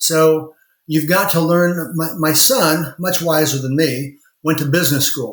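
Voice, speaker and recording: The voice has a Midwestern US accent and ordinary pitch variation. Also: man. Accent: US Midwest. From rural Indiana. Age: 60s. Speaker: lawyer and law firm owner. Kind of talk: interview.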